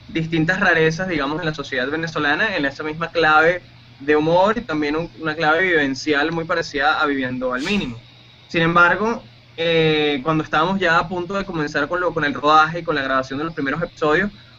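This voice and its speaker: A man's fairly high voice at a fairly quick pace, with ordinary pitch variation over noticeable background noise. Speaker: radio announcer and producer. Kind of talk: interview answer.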